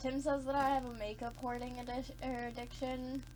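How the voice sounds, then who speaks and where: At a moderate pace, a woman talks with audible room echo around her. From US South, Georgia. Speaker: beauty vlogger. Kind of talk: casual chat. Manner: animated.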